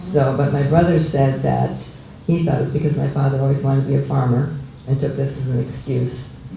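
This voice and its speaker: Over noticeable background noise and audible room echo, a man with a fairly high pitch speaks at a fairly quick pace in a flat, monotone way. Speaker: local resident sharing memories. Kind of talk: oral history talk. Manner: halting.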